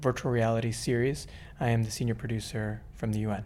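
A man talks at a medium pitch with an American accent. His tone is dark and mellow. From New York. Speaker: physician and virtual reality producer. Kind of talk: interview.

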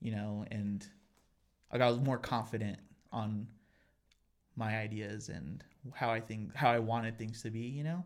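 With an American accent, a man talks at a fairly slow pace and medium pitch, with ordinary pitch variation and long, frequent pauses. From Colorado (Pueblo). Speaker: musician. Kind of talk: casual chat.

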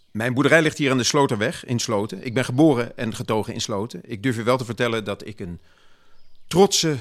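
With a plain, everyday voice, a man speaks at a medium pitch using lively intonation. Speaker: gentleman farmer and municipal councillor (dramatized historical character). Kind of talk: period speech dramatization, in-character monologue delivered to an audience.

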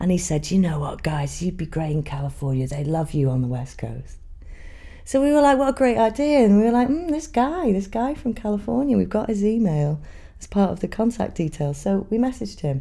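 A woman with a north Welsh accent speaks at a fairly quick pace. Her pitch is medium, with very wide swings. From Wales. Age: 30s. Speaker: folk musician. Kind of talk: casual interview.

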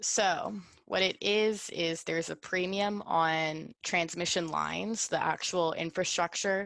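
With an American accent and an unremarkable speaking voice, a woman speaks fairly slowly at a fairly low pitch, her intonation fairly even and her loudness very even over a quiet background. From US South, New Orleans, Louisiana. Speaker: college alumna discussing her thesis. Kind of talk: interview.

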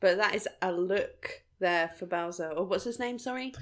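The recording is very clean, with a silent background. A woman speaks in a normal speaking voice at a moderate pace, with ordinary pitch variation. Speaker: podcast co-host. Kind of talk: casual riffing commentary over videos.

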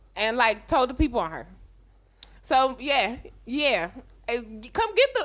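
Her voice raised and projected, a woman speaks at a moderate pace in a bright, sharp, animated tone with very wide pitch swings. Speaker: podcast co-host. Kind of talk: casual chat.

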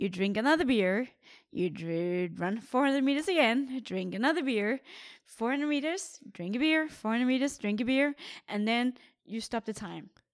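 In a Danish accent, a woman talks at a high pitch with lively intonation and a moderate pace. The recording is very clean, with a silent background. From Denmark. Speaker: professional triathlete. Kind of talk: casual interview.

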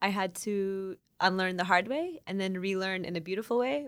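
An unremarkable speaking voice from a woman at medium pitch with an American accent, on a very clean recording with a silent background. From Oklahoma. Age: 20s. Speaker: fashion activist and organizer. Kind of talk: interview.

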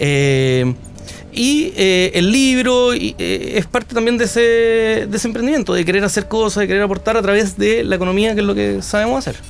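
With music in the background, a man speaks in a high pitch with lively intonation, very even loudness and hardly any pauses. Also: moderate pace. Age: 30s. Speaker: economist and entrepreneur. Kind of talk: interview. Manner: halting.

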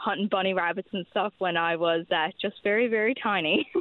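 A woman with a Newfoundland accent at medium pitch, at a moderate pace and with ordinary pitch variation. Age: young. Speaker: youth hunter. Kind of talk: radio interview.

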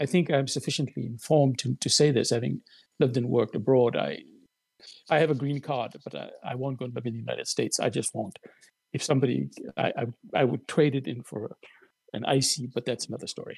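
A man with a medium pitch speaks at a fairly quick pace, with vocal fry and fairly even intonation. The sound is dry and close, with no echo. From South Africa. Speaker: columnist and writer. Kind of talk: casual chat. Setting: video call.

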